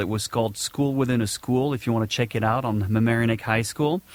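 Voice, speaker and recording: A man speaks with a slight French accent. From southern France, Nice. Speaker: podcast host. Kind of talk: casual monologue. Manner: hesitant, many fillers.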